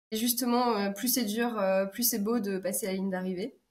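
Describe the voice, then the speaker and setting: Speaking at a moderate pace, a woman has a medium pitch and a somewhat breathy voice. Her intonation stays fairly even. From France, Alsace. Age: 30s. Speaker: business consultant and ultra-trail runner. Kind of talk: podcast interview. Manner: hesitant, many 'euh' fillers.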